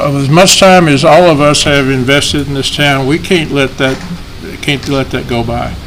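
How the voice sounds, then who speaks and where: Noticeable background noise and audible room echo surround a man with an American accent who speaks fairly quickly at a fairly high pitch with ordinary pitch variation. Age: 70s. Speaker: chamber of commerce director presenting to council. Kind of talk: public meeting presentation. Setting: city council meeting. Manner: conversational.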